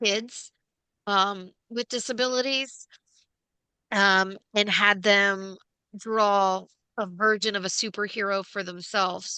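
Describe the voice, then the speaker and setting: Against a quiet background, the voice has a bright, sharp tone and fairly even intonation, moving at a very slow pace with long, frequent pauses. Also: woman, medium pitch for a woman. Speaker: podcast host. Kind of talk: casual chat. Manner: halting.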